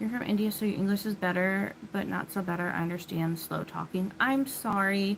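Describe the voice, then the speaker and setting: A woman with an American accent at a medium pitch, fairly quick and with hardly any pauses, her intonation fairly even, against noticeable background noise. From US Midwest, Illinois. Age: 30s. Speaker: livestreamer. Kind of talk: casual chat.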